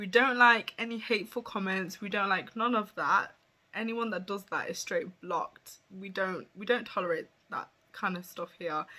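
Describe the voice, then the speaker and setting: A woman speaks at a moderate pace in a bright, sharp tone, with ordinary pitch variation and big swings in loudness. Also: medium pitch for a woman. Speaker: beauty influencer. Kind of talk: personal vlog. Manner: halting.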